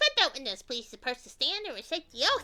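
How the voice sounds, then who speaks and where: A woman puts on a character voice at a fairly quick pace. Music plays in the background. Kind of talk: courtroom speech. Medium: game stream.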